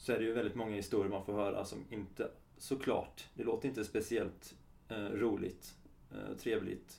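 A man's fairly low voice with vocal fry, at a moderate pace. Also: fairly even intonation. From Sweden, Halmstad area (Halland). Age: 30s. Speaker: kinesiologist. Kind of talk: interview.

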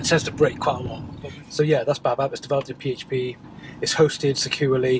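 Delivered at a very fast pace in a monotone, flat intonation, the speech sits over noticeable background noise. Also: man, fairly high pitch for a man. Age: 40s. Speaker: web developer and podcaster. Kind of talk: casual solo vlog monologue. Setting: office.

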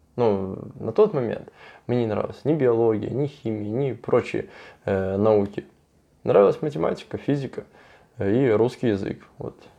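Over a quiet background, a man with a dark, mellow tone and medium pitch speaks at a moderate pace with ordinary pitch variation and long, frequent pauses. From southern Russia. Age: 20s. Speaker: construction company owner. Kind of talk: interview.

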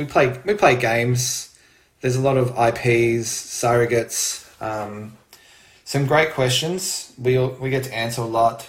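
Speaking with an Australian accent, a man talks at a fairly slow pace with fairly even intonation. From Australia, Melbourne. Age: 40s. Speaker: retail manager, intended parent. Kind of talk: casual storytelling.

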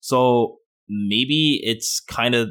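The recording is very clean, with a silent background. A man speaks in a normal speaking voice at medium pitch with lively intonation. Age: 20s. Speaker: gaming podcast co-host. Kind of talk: casual chat.

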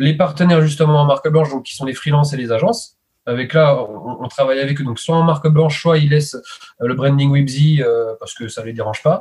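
His voice sits fairly high and comes out somewhat breathy, the pitch moving in an ordinary way as this man talks at a moderate pace. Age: 30s. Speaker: web services entrepreneur. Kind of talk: casual interview. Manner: hesitant, many fillers.

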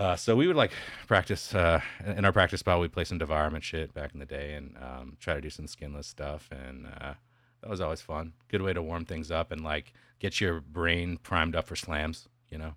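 Very deep and low in pitch, a man speaks at a moderate pace with fairly even intonation, vocal fry and big swings in loudness. The recording is very clean, with a silent background. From West Texas. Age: 30s. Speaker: metal musician. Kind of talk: casual chat.

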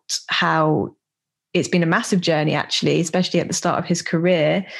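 Her intonation flat and monotone, a woman speaks with a British accent. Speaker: podcast host. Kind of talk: podcast intro and outro monologue.

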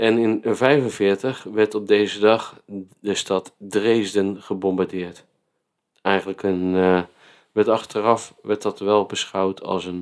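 A man's fairly low voice, very slow and flat in a monotone, on a very clean recording with a silent background. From Netherlands, Vlaardingen. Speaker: podcast host. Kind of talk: casual chat.

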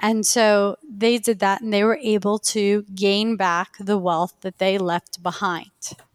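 A woman speaks at a medium pitch and a fairly slow pace. Her intonation stays fairly even. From Queens, New York. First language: Farsi. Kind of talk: casual interview conversation.

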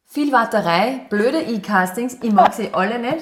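A woman speaks at a fairly slow pace. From Upper Austria. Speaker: model and former athlete. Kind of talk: interview.

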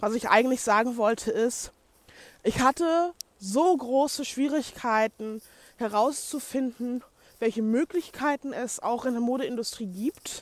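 At a fairly slow pace, a high-pitched woman talks with ordinary pitch variation. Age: 20s. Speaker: podcaster and blogger, fashion design student. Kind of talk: casual solo monologue. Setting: recorded on the go.

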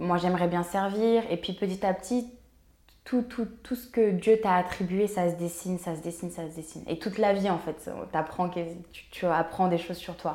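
A woman's voice at medium pitch and a moderate pace. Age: 20s. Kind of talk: casual interview conversation. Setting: co-working space. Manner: animated, energetic.

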